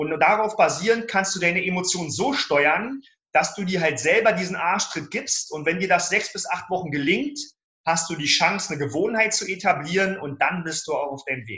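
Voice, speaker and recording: His intonation is lively. The man talks at a high pitch. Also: moderate pace. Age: 40s. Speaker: self-management coach. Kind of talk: podcast interview.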